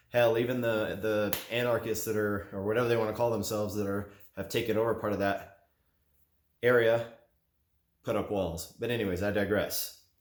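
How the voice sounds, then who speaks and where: Audible room echo surrounds a man speaking at medium pitch. His intonation is monotone and flat, at a moderate pace. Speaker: gun and gear YouTuber. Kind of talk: opinion monologue to camera.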